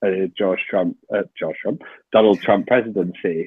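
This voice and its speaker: Speaking slowly-ish, at a fairly slow pace, a man with a British accent uses a fairly low pitch and ordinary pitch variation. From UK. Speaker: journalist and author. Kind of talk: podcast interview.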